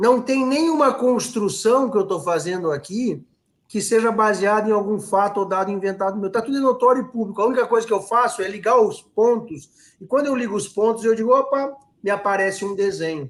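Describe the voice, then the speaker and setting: A man with a high pitch and lively intonation at a moderate pace, on a very clean recording with a silent background. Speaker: political commentator. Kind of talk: live stream discussion. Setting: live stream.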